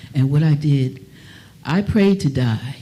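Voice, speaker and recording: A woman's voice is somewhat breathy, with a dark, mellow tone and a very deep, low pitch, at a fairly slow pace. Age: 80s+. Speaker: singer. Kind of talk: testimony.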